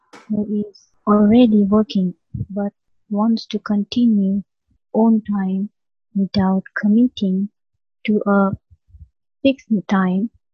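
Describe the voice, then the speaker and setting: A woman with a medium pitch speaks very slowly and somewhat breathily in a monotone, flat delivery, with big swings in loudness and long, frequent pauses. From India. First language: not English (ESOL learner). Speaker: language student. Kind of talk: interview.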